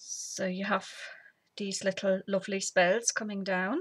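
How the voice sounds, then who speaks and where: A woman speaks somewhat breathily at a fairly slow pace, the sound dry and close with no echo. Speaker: papercraft tutorial host. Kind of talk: tutorial. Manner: casual.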